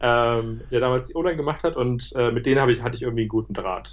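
A man at a very fast pace. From Berlin, Germany. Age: 30s. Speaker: startup founder. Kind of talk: interview. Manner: hesitant, many fillers.

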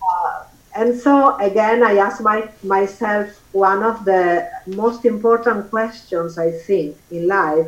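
A woman with an Italian accent and a medium pitch speaks at a very slow pace with hardly any pauses and ordinary pitch variation, over noticeable background noise. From Italy. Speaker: author and former model. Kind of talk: casual interview. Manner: halting, hesitant.

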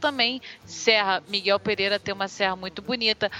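Backed by music, a woman with a fairly high pitch speaks with a Rio de Janeiro accent. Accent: Carioca Brazilian Portuguese. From Rio de Janeiro city, Brazil. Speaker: podcaster. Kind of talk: casual chat.

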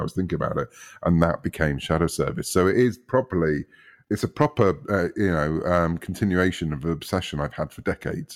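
Against a silent background in a very clean recording, a man with a very deep, low pitch talks at a fairly quick pace with ordinary pitch variation. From UK. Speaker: comic book writer. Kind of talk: interview.

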